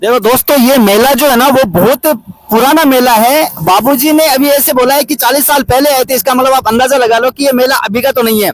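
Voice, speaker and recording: A man talks at a moderate pace with hardly any pauses, his pitch extremely high. Noticeable background noise is present. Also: ordinary pitch variation, very even loudness. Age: 30s. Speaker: travel vlogger. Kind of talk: vlog presenting. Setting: outdoors at a fair.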